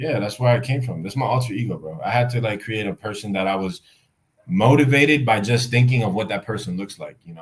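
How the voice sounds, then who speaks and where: A man speaks very fast at medium pitch, somewhat breathy, with ordinary pitch variation. His loudness swings widely. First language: Spanish. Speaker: YouTuber. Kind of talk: casual chat.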